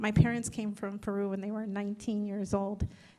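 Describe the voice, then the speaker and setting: Against a quiet background, a woman with a Spanish accent speaks at a fairly quick pace. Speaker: political candidate. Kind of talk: candidate forum answer. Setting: community forum with audience.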